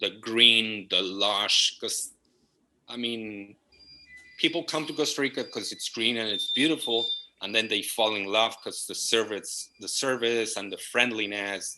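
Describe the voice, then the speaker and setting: Loudness swings widely as a man with a Spanish accent speaks at a fairly slow pace. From Argentina, Buenos Aires. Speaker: property management company partner. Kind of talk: interview.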